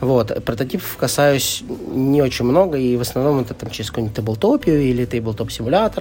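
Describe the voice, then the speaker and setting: A man talks fairly quickly at medium pitch with ordinary pitch variation as noticeable background noise carries on. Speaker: board game publisher marketing director. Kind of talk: casual interview. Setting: board game festival venue. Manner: talkative.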